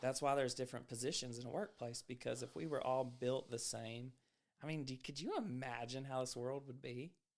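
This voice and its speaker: The speaker has an ordinary speaking voice at a fairly quick pace. The intonation stays fairly even. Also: man, medium pitch for a man. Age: 30s. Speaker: podcast host. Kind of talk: casual chat.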